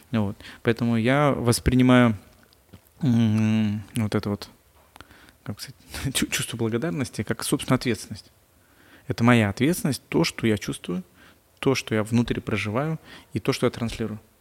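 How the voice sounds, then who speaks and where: Pausing long and often, a man speaks at a moderate pace and medium pitch with ordinary pitch variation, in a dry, close sound with no echo. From Russia, Chita. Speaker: entrepreneur and blogger. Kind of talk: podcast interview.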